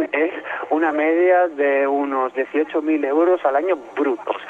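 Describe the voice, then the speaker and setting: Noticeable background noise behind a man's fairly high voice, very slow, with fairly even intonation and very even loudness. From Spain. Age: 30s. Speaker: caller living in Spain. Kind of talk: phone interview. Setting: phone call from the street.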